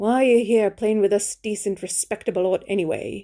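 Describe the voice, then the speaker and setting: Someone growls through a put-on character voice at a fairly quick pace. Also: woman, medium pitch for a woman. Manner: snarling, lowered tone.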